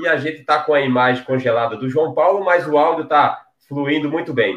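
A man with a northeastern Brazilian accent and ordinary pitch variation, in audible room echo. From Paraíba, Brazil. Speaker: online show host. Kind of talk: interview. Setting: video call. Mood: cheerful, smiling. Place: home room. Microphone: headset.

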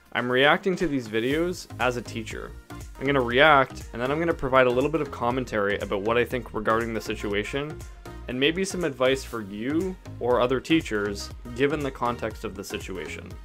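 A man talks at a fairly quick pace. Faint music plays in the background. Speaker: teacher, video reactor. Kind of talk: reaction video commentary. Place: home room. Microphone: studio mic.

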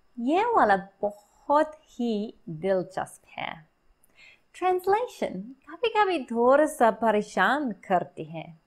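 Speaking in an English accent at a fairly slow pace, this voice makes very wide pitch swings and big swings in loudness, with long, frequent pauses over a quiet background. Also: woman, high pitch for a woman. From Australia. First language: English (speaking Hindi). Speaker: English teacher and Hindi learner; English teacher. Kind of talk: tutorial. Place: home room. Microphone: phone near.

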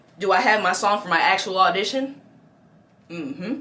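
A woman's lively intonation over light background noise. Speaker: musical theatre performer and youtuber. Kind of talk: tutorial. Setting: indoors in a city, street noise. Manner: animated. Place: home room.

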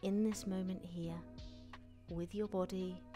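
Music is clearly heard in the background. The speech moves at a very slow pace. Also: woman. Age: 40s. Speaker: personal trainer, fitness instructor. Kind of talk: guided mindfulness and stretching session. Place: studio. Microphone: headset.

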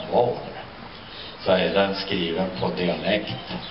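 Amid noticeable background noise, a man speaks at a very slow pace. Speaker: presenter at a public spring event. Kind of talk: spoken introduction to an outdoor audience. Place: street. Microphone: camera far.

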